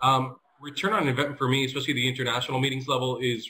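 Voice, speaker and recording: A man talks very fast in a bright, sharp tone. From US, Colombian family. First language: Spanish. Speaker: event services executive, panelist. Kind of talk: panel discussion. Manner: hesitant, many fillers.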